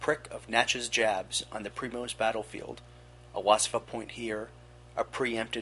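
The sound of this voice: The recording carries an unforced reading voice.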